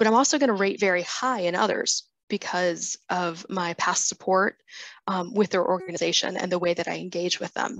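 The voice keeps a fairly even intonation, and the sound is dry and close with no echo. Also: woman. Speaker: fundraising data consultant and presenter. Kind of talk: webinar presentation.

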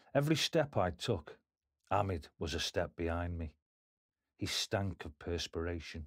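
A man speaks at a moderate pace in a very deep, low pitch, somewhat breathy, with long, frequent pauses and ordinary pitch variation. The sound is dry and close with no echo, on a very clean recording with a silent background. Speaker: author and audiobook narrator. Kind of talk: audiobook reading of own memoir, first-person narration. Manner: measured storytelling, gritty and confessional.

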